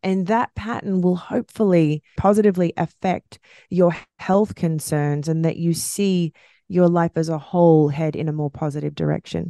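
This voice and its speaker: A woman speaks at a moderate pace in an Australian accent, her fairly low pitch varying in an ordinary way with a dark, mellow tone. The sound is dry and close with no echo, over a quiet background. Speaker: podcast co-host. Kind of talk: casual chat. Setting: recording at home.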